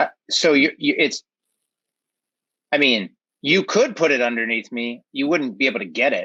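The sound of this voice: This man's medium-pitched voice has a bright, sharp tone with a slightly husky edge. He moves at a moderate pace with ordinary pitch variation.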